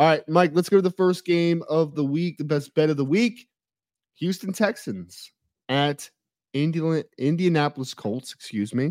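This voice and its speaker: An unremarkable speaking voice from a man, fairly high in pitch with ordinary pitch variation, at a moderate pace, in a very clean, dry, close recording with no echo and a silent background. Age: 30s. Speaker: football analyst and podcast co-host. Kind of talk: casual sports betting chat.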